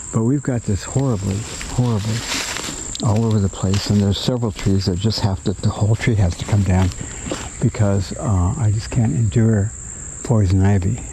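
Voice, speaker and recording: Against noticeable background noise, a man speaks at a moderate pace with a fairly low pitch, ordinary pitch variation, very even loudness and long, frequent pauses. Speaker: retiree. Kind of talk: casual talk to camera. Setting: outdoors. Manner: reflective.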